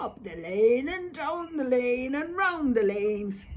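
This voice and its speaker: A female-sounding, put-on character voice growls at a fairly slow pace. Its pitch is high. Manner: nice, friendly.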